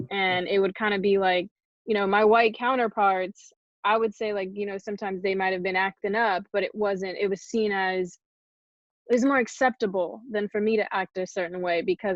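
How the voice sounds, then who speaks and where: Speaking at a moderate pace with fairly even intonation, a woman uses a normal speaking voice at a medium pitch. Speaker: college athlete. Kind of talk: panel discussion.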